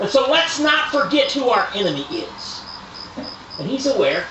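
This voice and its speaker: An American accent at a moderate pace amid noticeable background noise. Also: man. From eastern United States. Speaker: preacher at tent revival meetings. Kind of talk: sermon, biblical King James reading. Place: tent. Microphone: camera far.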